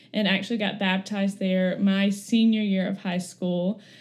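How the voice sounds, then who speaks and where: The speaker has a somewhat breathy voice and a monotone, flat intonation, with an Alabama accent. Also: woman. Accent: US South (Alabama). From Florence, Alabama. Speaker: speech therapist. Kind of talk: personal testimony interview.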